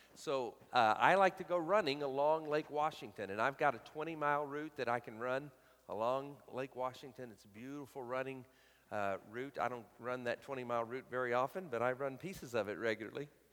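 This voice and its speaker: Speaking in a Southern US accent at a fairly quick pace, a man with a medium-pitched voice shows ordinary pitch variation and big swings in loudness. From US South, Alabama. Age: 50s. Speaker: guest preacher. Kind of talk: sermon. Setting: church.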